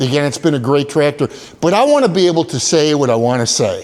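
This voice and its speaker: Noticeable background noise surrounds a man whose voice is fairly high-pitched. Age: 60s. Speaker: tractor channel creator. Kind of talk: casual vlog monologue. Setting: cold barn. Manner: hesitant, many fillers.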